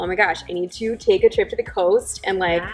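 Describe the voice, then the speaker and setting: A woman's flat, monotone voice over faint background music. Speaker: host interviewing wine founders. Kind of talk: casual interview chat. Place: bar.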